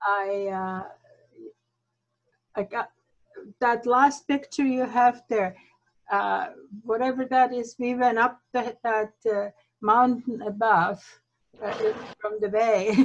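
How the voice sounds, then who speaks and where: A woman at a fairly high pitch, speaking at a very slow pace with ordinary pitch variation and long, frequent pauses. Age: 70s. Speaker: viewer calling in to a travel talk. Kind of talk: casual chat. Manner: halting.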